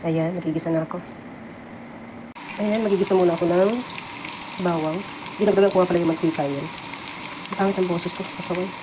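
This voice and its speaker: A woman with a fairly low pitch talks at a very fast pace in a monotone, flat delivery broken by long, frequent pauses, with audible room echo and noticeable background noise. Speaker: cooking vlogger, household worker abroad. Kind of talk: cooking tutorial.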